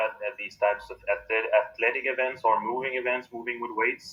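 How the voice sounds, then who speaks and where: At a moderate pace, a man speaks with a French accent. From Quebec, Canada. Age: 30s. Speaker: strongman athlete. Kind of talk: interview.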